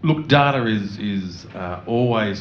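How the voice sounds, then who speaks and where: A man speaks with an Australian accent. Room echo is audible. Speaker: radio network executive. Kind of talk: panel discussion.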